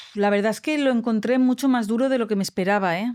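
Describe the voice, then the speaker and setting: A woman speaks with a Spanish accent. The recording is very clean, with a silent background. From Spain, Valencia. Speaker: tech entrepreneur. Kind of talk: interview. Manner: animated.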